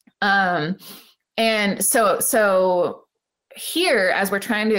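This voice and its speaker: A woman talks with an American accent at a medium pitch. Her intonation is lively. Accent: Appalachian, slight, fading. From West Virginia. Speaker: academic guest. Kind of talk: interview discussion.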